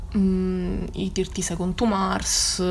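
A woman speaks in a monotone, flat way. Audible room echo and noticeable background noise surround her. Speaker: podcast host. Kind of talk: solo casual monologue.

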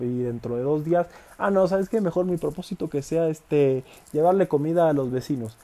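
The man's voice is fairly high in pitch, with a dark, mellow tone. He speaks at a moderate pace with ordinary pitch variation. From Mexico, Villahermosa, Tabasco. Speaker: podcaster and fitness content creator. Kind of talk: casual monologue.

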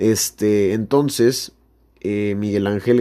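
A man talks at a fairly slow pace with a fairly low pitch and a dark, mellow tone. The recording is very clean, with a silent background. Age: 20s. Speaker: sports podcast host. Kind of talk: casual sports chat.

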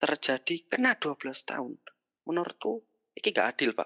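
In a very clean, dry, close recording with a silent background and no echo, a woman with a fairly low pitch and a bright, sharp tone speaks at a moderate pace.

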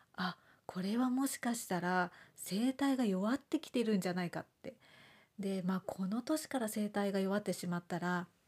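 At a moderate pace, a woman mumbles in a somewhat breathy voice on a very clean recording with a silent background. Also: medium pitch for a woman, ordinary pitch variation. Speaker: homeopath podcaster. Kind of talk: casual monologue podcast. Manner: mumbling, little intonation.

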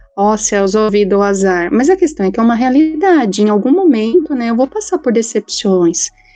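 Music plays in the background. The sound is dry and close, with no echo. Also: woman. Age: 40s. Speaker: psychologist. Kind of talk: casual panel discussion. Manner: halting, many fillers (né).

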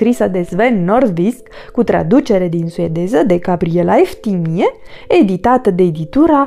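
The passage is read aloud in a natural voice, its intonation lively.

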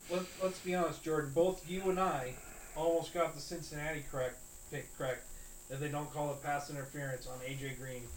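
Fairly high in pitch, this man speaks. His pace is fairly quick. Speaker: football podcast host. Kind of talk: casual chat. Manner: animated.

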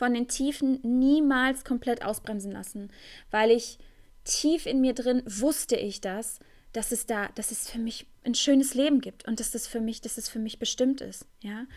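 The speaker keeps a moderate pace and fairly even intonation, with big swings in loudness. The recording is very clean, with a silent background. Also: woman, high pitch for a woman. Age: 20s. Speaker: tantra teacher and podcast host. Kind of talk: solo podcast monologue. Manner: hesitant, many fillers.

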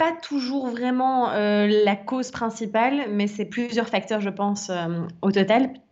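This woman has a normal speaking voice. Her pitch sits fairly high and moves with ordinary variation. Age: 30s. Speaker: wellness and life coach. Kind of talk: casual interview testimony.

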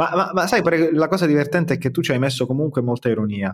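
A man is speaking here. His pitch sits fairly high, with ordinary variation. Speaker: podcast co-host. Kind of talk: casual podcast chat. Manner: animated, jokey.

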